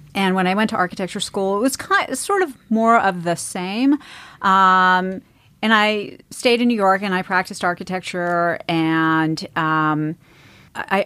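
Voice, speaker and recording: A woman with an American accent has a plain, everyday voice, speaking at a moderate pace with ordinary pitch variation. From US East Coast. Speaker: real estate investment executive. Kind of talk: interview.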